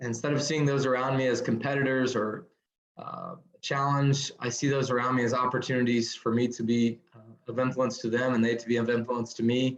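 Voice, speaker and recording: This man has a medium pitch and monotone, flat intonation. He talks at a fairly quick pace. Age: 30s. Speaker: nurse turned speaker and business owner. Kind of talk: podcast interview.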